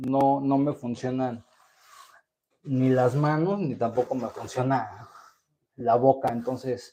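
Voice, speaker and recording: A man with a dark, mellow tone and medium pitch talks at a very slow pace. His intonation is fairly even, with long, frequent pauses. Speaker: chronic pain livestreamer. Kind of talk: casual livestream monologue. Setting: live stream. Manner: halting, with many fillers and repetitions.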